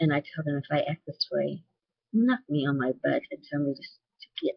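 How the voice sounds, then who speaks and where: A woman is speaking. Her pace is moderate. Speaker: vlogger sharing personal experience with bipolar disorder. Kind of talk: personal testimony video response. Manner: conversational, somewhat repetitive.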